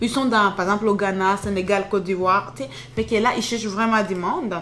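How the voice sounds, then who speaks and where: The voice moves at a fairly quick pace with ordinary pitch variation. Noticeable background noise is present. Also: woman. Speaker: YouTuber giving job-search tips. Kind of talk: screen-share tutorial. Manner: fast; casual, filler-heavy.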